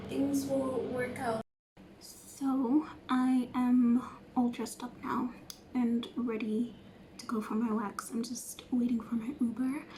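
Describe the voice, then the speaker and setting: A woman is whispering at a very slow pace. Noticeable background noise runs underneath. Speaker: beauty vlogger. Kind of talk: casual vlog talk.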